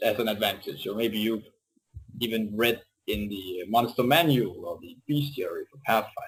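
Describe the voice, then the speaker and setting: Big swings in loudness mark a man talking at a moderate pace. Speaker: tabletop role-playing gamer, interview guest. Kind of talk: casual interview. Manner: halting, many fillers and repetitions.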